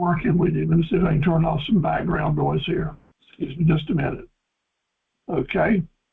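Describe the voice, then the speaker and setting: A man with an eastern North Carolina accent speaks at a fairly quick pace, broken by long, frequent pauses. His pitch is fairly high and varies in an ordinary way. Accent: US Southern (eastern North Carolina). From North Carolina, Cumberland County. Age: 70s. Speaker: business coach and farm equipment dealer. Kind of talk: webinar presentation. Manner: folksy, with frequent fillers.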